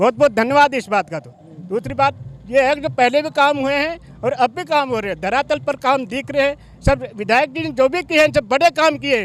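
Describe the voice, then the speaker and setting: This man's voice sits at an extremely high pitch, with ordinary variation in pitch. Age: 60s. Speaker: village head. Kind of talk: interview.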